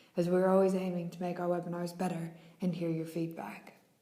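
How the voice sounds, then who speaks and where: Noticeable background noise and audible room echo accompany a woman speaking fairly quickly at a fairly low pitch. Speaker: webinar host. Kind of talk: webinar presentation. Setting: online webinar.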